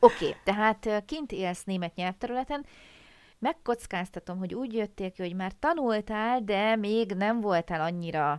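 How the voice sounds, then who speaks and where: Heard in a very clean recording with a silent background, a woman with medium pitch and lively intonation has a plain, everyday voice. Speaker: podcast host, German language teacher. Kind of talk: casual interview chat; scripted intro.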